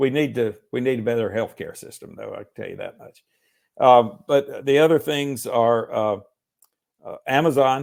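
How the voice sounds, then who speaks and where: A Southern US accent at a moderate pace, with big swings in loudness. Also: man. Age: 60s. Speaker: lawyer and author. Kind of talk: interview. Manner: halting, many fillers.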